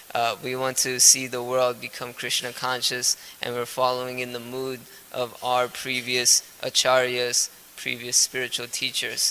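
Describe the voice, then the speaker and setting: Noticeable background noise sits behind a man with a medium-pitched voice. He talks at a fairly slow pace with monotone, flat intonation. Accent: Gujarati. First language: Gujarati. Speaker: spiritual teacher. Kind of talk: lecture. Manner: halting, frequent uh fillers.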